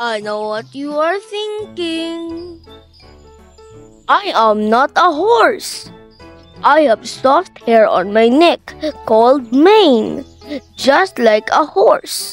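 In a cartoonish character voice, a woman speaks at a very slow pace with a high pitch and big pitch swings, faint music playing in the background.

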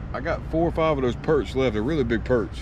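A man rattles along at a very fast pace amid noticeable background noise. The sound is dry, with no echo. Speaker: fishing vlogger. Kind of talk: casual vlog chat. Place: street. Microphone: phone near.

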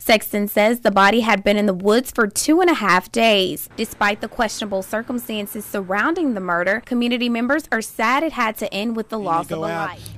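A woman talks fairly quickly at a fairly high pitch, with hardly any pauses. Hers is an unremarkable speaking voice. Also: ordinary pitch variation. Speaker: TV news reporter and anchor. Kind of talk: TV news report.

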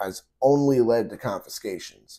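The setting is quiet. A man's tone is dark and mellow, and his pitch shifts in an ordinary way. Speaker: gun rights commentator. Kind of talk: casual opinion vlog. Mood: irritated, opinionated. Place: home room.

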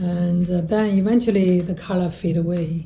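A woman speaks at a very slow pace with a fairly low pitch. Her voice is somewhat breathy, with a dark, mellow tone. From China. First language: Chinese. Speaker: artist. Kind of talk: artist talk about own work. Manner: halting, with frequent fillers. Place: workshop. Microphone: camera far.

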